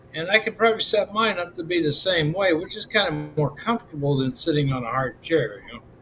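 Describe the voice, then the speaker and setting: A very fast, high-pitched male voice with an American accent, hardly any pauses, and noticeable background noise. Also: lively intonation. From Pennsylvania, US. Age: 60s. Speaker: livestreamer. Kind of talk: casual chat. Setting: live stream. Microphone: built-in webcam.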